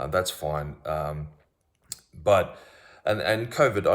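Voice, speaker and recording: His pitch sits very deep and low. The man talks at a moderate speed. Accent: Australian. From Australia. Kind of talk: casual monologue to camera. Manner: hesitant, many fillers.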